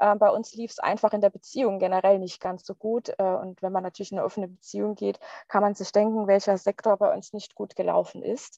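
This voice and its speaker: Quiet surroundings and a woman's dry, close voice, free of any echo. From Palatinate, Germany. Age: 30s. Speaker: divorcee sharing personal story. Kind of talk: interview testimony.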